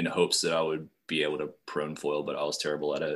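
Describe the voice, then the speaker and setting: A man with an American accent speaks in a very deep, low pitch and a monotone, flat intonation. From Appalachian western Virginia. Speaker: foiler, guest. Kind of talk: casual chat.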